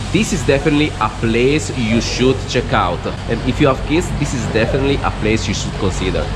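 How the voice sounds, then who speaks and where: Music plays in the background as a man talks at a fairly quick pace with ordinary pitch variation. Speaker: travel vlogger. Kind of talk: casual vlog chat. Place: hall. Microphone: phone near.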